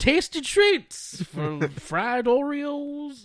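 This put-on character voice moves at a very slow pace. Its pitch swings are very wide. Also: man.

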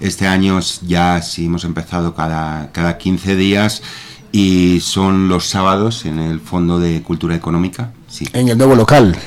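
Noticeable background noise runs under the recording. A man speaks in a very deep, low pitch. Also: ordinary pitch variation. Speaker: reading club member. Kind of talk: radio interview. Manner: hesitant, many fillers.

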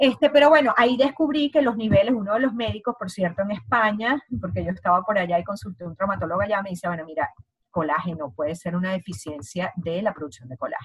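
A woman's somewhat breathy, medium-pitched voice at a fairly quick pace. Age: 40s. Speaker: essential oils advocate. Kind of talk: interview.

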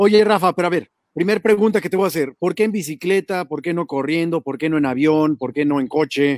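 A man with a Mexican accent speaks at a high pitch and a fairly quick pace, with hardly any pauses. The sound is dry and close, with no echo. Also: ordinary pitch variation. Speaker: online show host. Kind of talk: interview.

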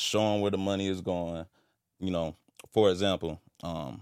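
A man with a very deep, low pitch and an American accent, fairly even in intonation at a moderate pace, on a very clean recording with a silent background. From Fayetteville, North Carolina. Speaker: festival organizer. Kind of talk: casual chat. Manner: halting.

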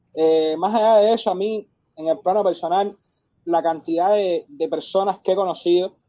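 At a moderate pace, a man speaks in a high pitch. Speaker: football fan club president. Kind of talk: interview. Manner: halting, many repetitions.

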